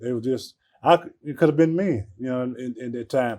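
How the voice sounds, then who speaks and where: The voice has an Alabama accent and a dark, mellow tone, moving at a moderate pace against a quiet background. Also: man. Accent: Southern US, Alabama. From US South, Birmingham, Alabama. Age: 60s. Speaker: airline ramp agent. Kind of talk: interview. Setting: break room at airport. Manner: halting.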